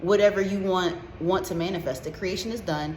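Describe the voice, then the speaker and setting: A woman speaks at a fairly quick pace with ordinary pitch variation over noticeable background noise. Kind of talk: casual talk to camera, motivational pep talk with profanity. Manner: energetic, passionate, comedic.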